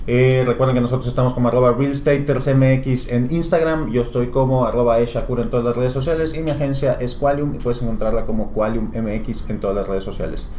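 A man's medium-pitched voice at a fairly quick pace, with hardly any pauses and fairly even intonation, amid audible room echo and noticeable background noise. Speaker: podcast host, marketing agency director. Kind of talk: casual interview.

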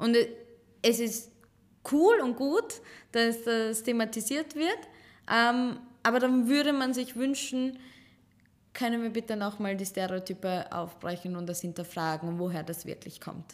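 With lively intonation and long, frequent pauses, a woman talks at a fairly slow pace in a fairly high voice. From Serbian Roma, raised partly in Chicago and Vienna. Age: 20s. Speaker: teacher and Roma activist. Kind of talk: casual interview conversation. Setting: office studio.

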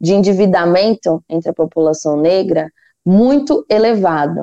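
A dark, mellow tone at a fairly slow pace, in a dry, close sound with no echo. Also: woman. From São Paulo, Brazil (Taboão da Serra). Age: 20s. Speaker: economics and finance guest expert. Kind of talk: podcast interview.

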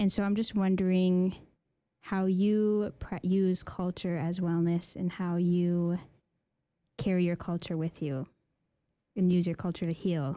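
A woman with a dark, mellow tone and medium pitch speaks in a monotone, flat way with long, frequent pauses, on a very clean recording with a silent background. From Interior Alaska. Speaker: podcast host and student. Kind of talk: interview conversation.

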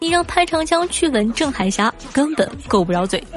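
Noticeable background noise sits under a woman's voice as her pitch swings very widely. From Northeast China. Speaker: podcast host. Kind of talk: scripted monologue.

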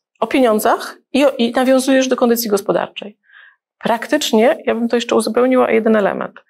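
Speaking at a very fast pace, a woman keeps a high pitch and fairly even intonation. Her loudness stays very even. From Gdańsk, Poland. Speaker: wealth advisor, channel host. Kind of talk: interview.

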